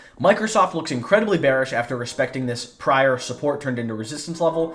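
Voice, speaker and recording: A man talks at a very fast pace with very wide pitch swings. Music plays in the background. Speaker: market analyst. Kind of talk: market analysis tutorial.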